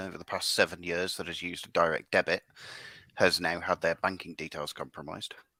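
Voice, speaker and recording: A man talks at a fairly quick pace in a very clean recording with a silent background and a dry, close sound with no echo. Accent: West Midlands. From Staffordshire, English West Midlands. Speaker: podcast guest. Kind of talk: casual chat.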